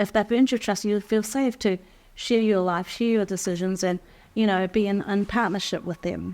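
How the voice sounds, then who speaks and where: An unremarkable speaking voice moves at a moderate pace with fairly even intonation. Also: woman, medium pitch for a woman. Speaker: life skills teacher. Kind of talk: workshop teaching talk.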